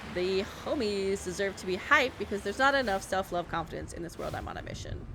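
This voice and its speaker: Soft-spoken yet with big swings in loudness, a woman with an American accent talks very fast at a medium pitch and lively intonation over noticeable background noise. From New York City. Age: 40s. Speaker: game streamer. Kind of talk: live gameplay commentary. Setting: live stream. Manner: casual, chatty.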